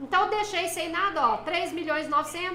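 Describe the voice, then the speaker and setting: A woman's raised, projected voice at a fairly quick pace with ordinary pitch variation and audible room echo. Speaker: tax specialist teaching a course. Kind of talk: live-stream lecture. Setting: live stream. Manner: casual, chatty with viewers.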